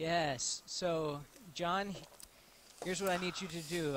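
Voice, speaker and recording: A man speaks at a moderate pace in a flat, monotone delivery. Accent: American. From US, Texas. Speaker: live stream co-host. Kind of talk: casual chat. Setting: live online stream.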